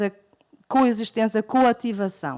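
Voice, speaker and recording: A woman's fairly high voice at a fairly slow pace, with ordinary pitch variation and a dry, close sound with no echo. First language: German and Portuguese (bilingual) (speaking Portuguese). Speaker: university professor, linguist. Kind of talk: lecture. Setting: public library talk with audience. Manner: halting, many fillers and self-corrections.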